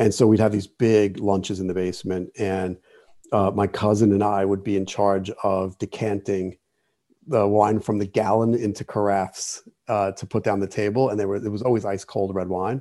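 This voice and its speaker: Against a quiet background, a man with a New Jersey accent talks at a moderate pace. His fairly low voice has a dark, mellow tone and monotone, flat intonation. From New Jersey (Jersey City). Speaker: wine writer and expert. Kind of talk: interview. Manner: halting, many fillers.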